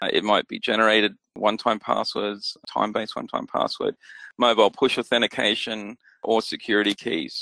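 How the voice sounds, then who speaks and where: A man with an Australian accent speaks at a moderate pace. The recording is very clean, with a silent background and a dry, close sound with no echo. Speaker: security technology expert. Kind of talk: interview.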